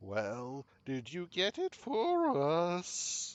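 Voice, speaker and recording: A man speaks in a put-on character voice. His pitch sits high. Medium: game stream. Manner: aloof, condescending, speaks as "we".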